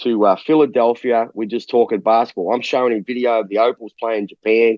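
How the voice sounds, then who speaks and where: Fairly quick male speech in an Australian accent. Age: 60s. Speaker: basketball coach. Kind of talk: interview.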